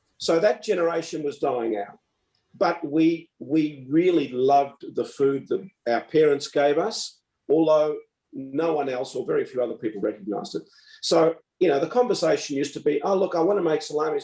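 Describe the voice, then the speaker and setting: This man talks at a fairly quick pace, his fairly high pitch carried by lively intonation. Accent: Australian. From Melbourne, Australia. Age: 70s. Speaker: retired doctor and preserving author. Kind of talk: interview. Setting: online event.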